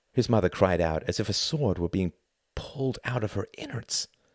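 The natural reading voice has lively intonation, and the background is quiet.

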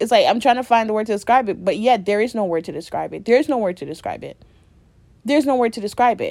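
A woman talks very fast in a fairly high voice, with lively intonation and big jumps in volume. Her tone is animated. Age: 20s. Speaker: solo podcaster. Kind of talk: casual monologue.

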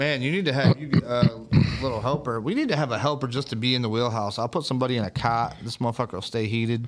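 Against noticeable background noise, a man with an American accent talks at a very fast pace in a medium pitch with ordinary pitch variation. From US. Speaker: livestream host. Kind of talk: casual chat. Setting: studio. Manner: animated.

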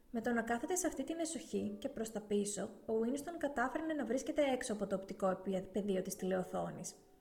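A woman speaks at a fairly quick pace in a fairly high pitch. Noticeable background noise runs behind her. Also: lively intonation. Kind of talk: audiobook reading aloud of a novel, steady literary narration. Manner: even, measured, narrator-like delivery with little change in tone.

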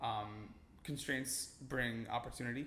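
The speech comes at a fairly slow pace with audible room echo. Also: man. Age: 20s. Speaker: student housing company founder. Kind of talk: casual chat. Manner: halting, many fillers.

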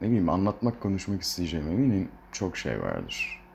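Noticeable background noise behind a man at a moderate pace, his fairly low pitch showing ordinary variation. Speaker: solo podcaster. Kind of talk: casual solo monologue. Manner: rambling, hesitant with fillers. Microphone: poor sound quality, no proper equipment.

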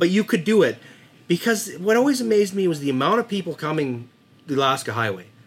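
Very wide pitch swings mark this very fast delivery in a western Canadian accent. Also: man, high pitch for a man. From Dawson Creek, northern British Columbia, Canada. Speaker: local hunter. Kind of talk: casual chat.

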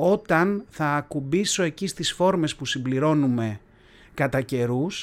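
A man with an ordinary speaking voice and a fairly high pitch talks at a fairly slow pace. His pitch variation is ordinary. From Athens, Greece. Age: 40s. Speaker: podcaster. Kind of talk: solo monologue podcast. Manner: casual, conversational.

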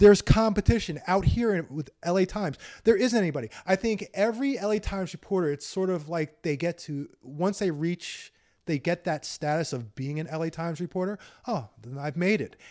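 Fairly quick speech with lively intonation in an American accent, recorded very clean with a silent background and a dry, close sound with no echo. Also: man, high pitch for a man. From New York. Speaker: police accountability activist. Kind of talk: casual interview. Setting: host's home.

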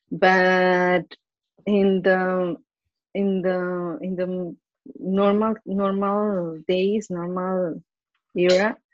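A woman with a Spanish accent speaks at a very slow pace in a medium pitch, with fairly even intonation and long, frequent pauses. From Colombia. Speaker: advertising professional. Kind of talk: interview. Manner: halting, many repetitions.

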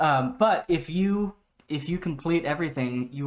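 Using an ordinary speaking voice, a man with an American accent talks at a moderate pace with ordinary pitch variation. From US, Oregon. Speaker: video game podcast co-host. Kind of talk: casual chat.

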